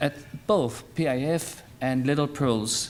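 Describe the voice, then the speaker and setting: A man with a Turkish accent at a medium pitch. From Turkey. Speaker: childcare centre managing director, event speaker. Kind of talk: welcome speech. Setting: stage at dinner event with audience. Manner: halting.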